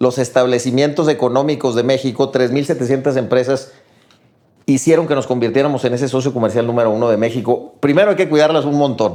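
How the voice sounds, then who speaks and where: A man's unremarkable speaking voice, medium in pitch, at a fairly quick pace with ordinary pitch variation. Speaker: business executive. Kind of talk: casual chat.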